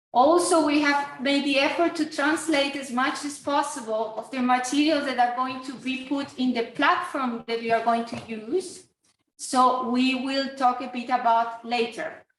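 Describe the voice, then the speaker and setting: The delivery has fairly even intonation, with audible room echo. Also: woman, high pitch for a woman. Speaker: course organizer and teacher. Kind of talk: online course introduction. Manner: deliberately slow.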